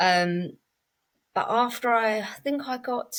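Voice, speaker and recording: With a southern English accent, a woman speaks at a fairly high pitch with lively intonation. The recording is very clean, the background silent. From England, Cambridge area. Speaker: podcast guest in sobriety. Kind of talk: casual interview chat. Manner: relaxed, conversational with fillers.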